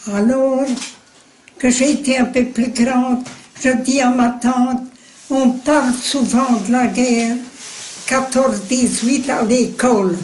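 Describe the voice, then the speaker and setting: Over noticeable background noise, a woman speaks at a very slow pace in a high, monotone, flat voice with very even loudness and long, frequent pauses. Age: 80s+. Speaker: war witness. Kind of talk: interview answer.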